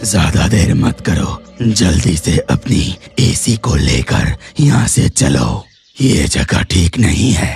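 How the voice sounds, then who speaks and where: A man does a cartoonish character voice, pitched very deep and low, at a very slow pace. Faint music plays in the background. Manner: grave, commanding.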